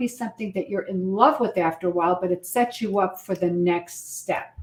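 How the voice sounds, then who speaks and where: Talking at a fairly quick pace, a woman uses a normal speaking voice with ordinary pitch variation. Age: 60s. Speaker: wedding officiant. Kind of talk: interview.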